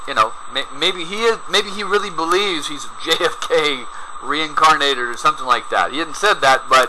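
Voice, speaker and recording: A man talks at a moderate pace amid noticeable background noise. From US South, rural Georgia east of Atlanta. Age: 50s. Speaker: video commentator. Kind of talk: video commentary. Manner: animated.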